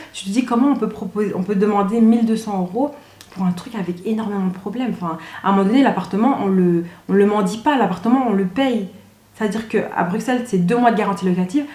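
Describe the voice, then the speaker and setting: Over noticeable background noise, someone talks at a very fast pace in a strong Belgian accent. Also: woman, medium pitch for a woman, ordinary pitch variation. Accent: Belgian French, fairly strong. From Belgium (Brussels area). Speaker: YouTuber. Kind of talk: casual storytelling vlog. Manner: animated.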